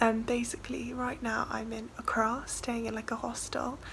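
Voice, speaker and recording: A woman with an English accent, amid noticeable background noise. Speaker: student midwife vlogger. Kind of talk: travel vlog. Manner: chatty.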